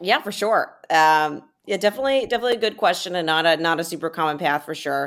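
A woman's fairly low voice, very fast and lively in intonation, on a very clean recording with a silent background. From Alabama. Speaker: venture capital investor. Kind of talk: interview.

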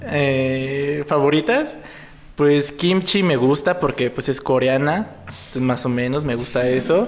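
The speech moves at a very slow pace with ordinary pitch variation and very even loudness. Noticeable background noise runs underneath. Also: man, fairly high pitch for a man. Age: 20s. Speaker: clinical psychologist and drag performer. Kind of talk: casual chat.

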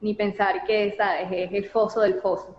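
A woman speaks with a Venezuelan accent at a fairly slow pace. Her pitch is fairly high. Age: 30s. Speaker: graduate student. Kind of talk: interview.

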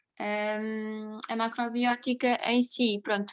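The woman's intonation is monotone and flat. Her pitch sits in the medium range. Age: 20s. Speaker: nurse and food blogger. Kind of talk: interview. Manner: halting, many repetitions and fillers.

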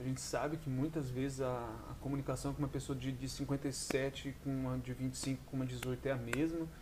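A man's somewhat breathy voice at medium pitch, dark and mellow in tone, at a moderate pace. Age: 20s. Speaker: podcast host. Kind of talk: solo monologue podcast. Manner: casual, halting with many fillers.

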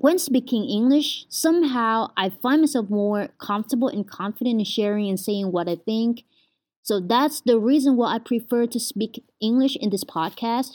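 A woman talks at a moderate pace in a Vietnamese accent, her pitch fairly high with ordinary variation. The recording is very clean, with a silent background. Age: 20s. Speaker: podcaster, university student. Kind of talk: casual monologue. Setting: at home.

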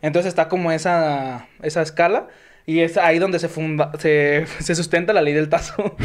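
With an ordinary speaking voice, a man talks at a moderate pace in a fairly high pitch, keeping his loudness very even. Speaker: podcast host. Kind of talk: casual chat; reading aloud.

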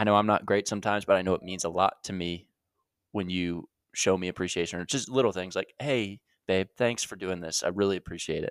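A man speaks very fast in a very deep, low voice with fairly even intonation. The recording is very clean with a silent background and a dry, close sound with no echo. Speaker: host's long-term partner. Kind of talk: casual chat.

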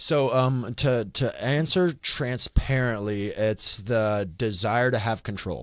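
With a Midwestern American accent, a man at medium pitch speaks at a very slow pace with hardly any pauses, in a very clean recording with a silent background. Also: ordinary pitch variation. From Kansas City, Missouri. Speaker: ministry leader. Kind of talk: casual chat.

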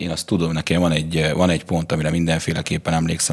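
Noticeable background noise sits under this recording. The male speaker's pitch is very deep and low. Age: late 20s. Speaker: bartender and barista. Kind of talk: casual interview.

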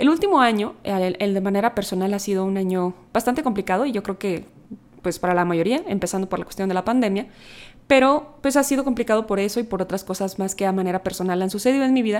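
Very fast speech from a woman, medium in pitch, with ordinary variation in its pitch. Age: 30s. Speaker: podcast host. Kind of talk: personal reflection monologue. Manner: conversational.

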